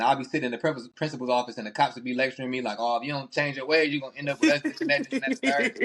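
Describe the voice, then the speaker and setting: A man speaks very fast with a slight Southern US accent. His intonation stays fairly even, with hardly any pauses. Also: medium pitch for a man. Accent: slight Southern (country). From Texas. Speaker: podcast host. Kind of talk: casual chat.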